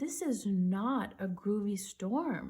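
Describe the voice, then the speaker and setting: A woman speaks in a put-on character voice. Her pitch sits in the medium range. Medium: read story. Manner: laid-back.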